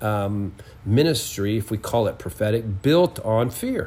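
Lively intonation in a somewhat breathy, dark, mellow tone at a fairly slow pace. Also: man. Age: 60s. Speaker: prophetic minister. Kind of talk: interview.

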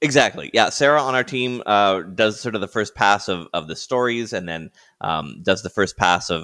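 In a very clean recording with a silent background and a dry, close sound with no echo, a man with an unremarkable speaking voice talks at a moderate pace and fairly low pitch, his intonation lively and hardly any pauses between words. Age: 50s. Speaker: podcaster, marketing agency owner, former radio broadcaster. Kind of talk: interview.

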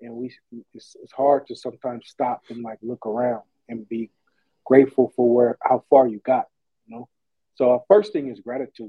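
A man talks at a medium pitch with ordinary pitch variation. Long pauses come often in his speech. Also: moderate pace. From US West Coast, East Oakland, San Francisco Bay Area. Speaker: sportswear business owner. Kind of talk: casual interview.

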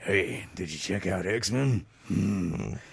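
This man uses a put-on character voice that is raspy. It sits at a fairly low pitch. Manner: gruff.

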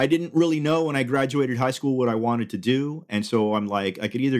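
A man with an unremarkable speaking voice talks at a fairly quick pace with lively intonation, in a very clean recording with a silent background. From Cuba, raised in Southern California. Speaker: film podcast host. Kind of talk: casual chat.

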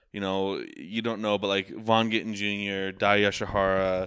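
In a very clean recording with a silent background, a man speaks in a monotone, flat intonation at a fairly slow pace. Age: 20s. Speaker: podcast co-host. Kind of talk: casual chat.

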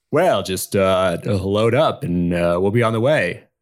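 A man with an ordinary speaking voice and a fairly low pitch speaks at a fairly slow pace on a very clean recording with a silent background. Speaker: podcast co-host and improvised storyteller. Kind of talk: improvised collaborative storytelling. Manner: playful, laughs often.

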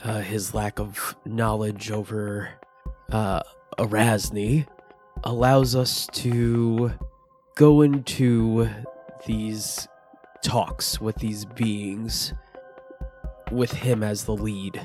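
A man uses a put-on character voice at medium pitch, speaking very slowly over faint background music. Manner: measured, formal.

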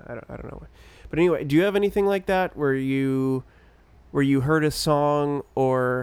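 At a moderate pace, a man speaks in a plain, everyday voice, fairly high in pitch, with ordinary pitch variation and big swings in loudness. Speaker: podcast co-host. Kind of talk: casual chat.

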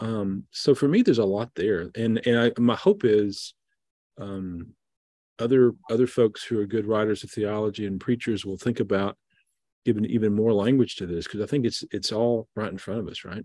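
Over a quiet background, a man with a Southern US accent speaks at a moderate pace in a fairly low pitch, his dark, mellow tone carrying fairly even intonation and big swings in loudness. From US South, southeast Missouri. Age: middle-aged. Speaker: Episcopal bishop. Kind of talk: casual chat.

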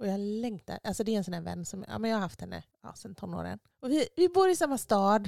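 A woman speaks at a very fast pace, her loudness swinging widely. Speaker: podcast host. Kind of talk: casual chat.

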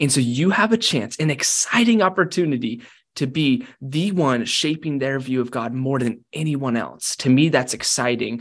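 A man talks at a moderate pace. He has an ordinary speaking voice with fairly high pitch. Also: lively intonation. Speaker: author. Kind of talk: casual interview chat.

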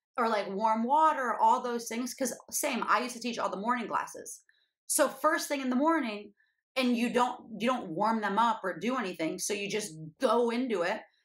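At a fairly quick pace, a normal speaking voice carries ordinary pitch variation. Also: woman. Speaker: podcast host and fitness coach. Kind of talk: casual interview chat.

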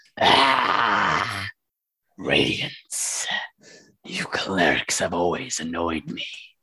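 In a put-on, growling character voice, a man speaks at a very slow pace with a very deep, low pitch, ordinary pitch variation and long, frequent pauses. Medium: actual play. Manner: arrogant, contemptuous, taunting.

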